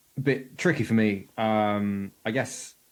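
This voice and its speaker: A southern English accent on a very clean recording, the background silent. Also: man. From southern England, Bracknell near Reading. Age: 30s. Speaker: podcast guest with lived experience of anxiety. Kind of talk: casual interview chat. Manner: hesitant, many fillers.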